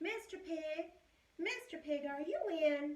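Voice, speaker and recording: Putting on a character voice, a woman speaks at an extremely high, squeaky pitch. Her pace is fairly slow. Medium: read story.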